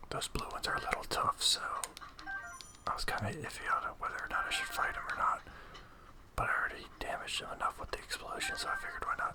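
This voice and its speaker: Someone whispers at a very fast pace. Noticeable background noise runs underneath. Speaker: ASMR gaming channel host. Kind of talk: gameplay commentary. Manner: whispered.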